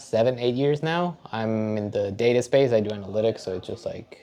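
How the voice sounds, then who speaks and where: A man with a Spanish accent speaks at a moderate pace in a medium pitch. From Mexico. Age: 30s. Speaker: data engineer and fighting game competitor. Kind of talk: casual interview. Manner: hesitant, many fillers.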